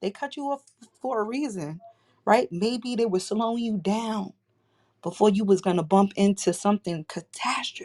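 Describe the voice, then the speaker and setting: A woman speaks at a fairly quick pace. The recording is very clean and the background silent. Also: dry, close sound with no echo. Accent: New York. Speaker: crisis management specialist and entrepreneur. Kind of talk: casual chat. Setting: live audio chat room.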